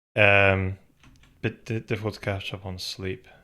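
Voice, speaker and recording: Mumbling from a man with a fairly low pitch, on a very clean recording with a silent background. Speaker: game developer streamer. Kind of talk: live coding stream. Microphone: slight echo in room.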